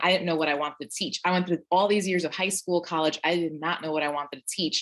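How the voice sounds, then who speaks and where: In a New York accent, a woman speaks with a very deep, low pitch and ordinary pitch variation. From Brooklyn, New York. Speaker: teacher. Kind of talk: panel discussion.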